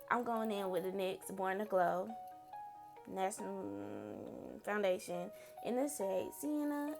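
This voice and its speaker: A woman talks while clear music plays behind her. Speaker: beauty vlogger. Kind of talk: makeup tutorial voiceover. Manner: casual, chatty. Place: home room. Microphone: phone near.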